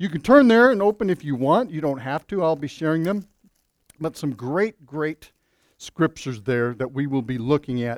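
On a very clean recording with a silent background and a dry, close sound with no echo, a man talks in an ordinary speaking voice at a moderate pace, with a fairly high pitch and lively intonation. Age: 50s. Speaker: pastor. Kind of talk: sermon. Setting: church.

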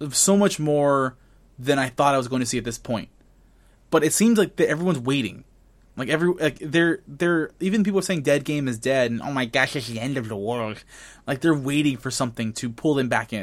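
A man talks at a fairly quick pace in a normal speaking voice. His pitch is fairly high, and his intonation is lively. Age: 20s. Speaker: gaming podcast host. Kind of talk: casual chat. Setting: video call.

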